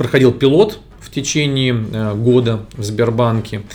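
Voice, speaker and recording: A man with an unremarkable speaking voice, medium pitch and ordinary pitch variation. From Moscow, Russia. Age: 30s. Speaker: tech company CEO. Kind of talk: interview.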